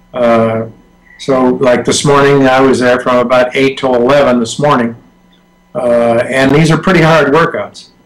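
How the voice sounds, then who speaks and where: With noticeable background noise behind him, a man speaks at a moderate pace in a medium pitch, his intonation fairly even and his loudness very even. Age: 80s+. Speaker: masters swimmer, former Olympian. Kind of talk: interview answer.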